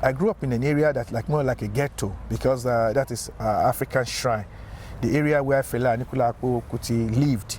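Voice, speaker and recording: Noticeable background hiss beneath a man talking fairly quickly, his pitch in the middle range and varying in an ordinary way. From Nigeria, Lagos. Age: 60s. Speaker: engineer and community activist. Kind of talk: interview. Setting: outdoors.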